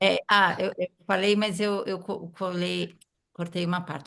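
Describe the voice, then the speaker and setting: A woman with an unremarkable speaking voice talks at a fairly low pitch and a fairly slow pace. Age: 50s. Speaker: writer, editor and biographical counselor. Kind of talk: self-introduction.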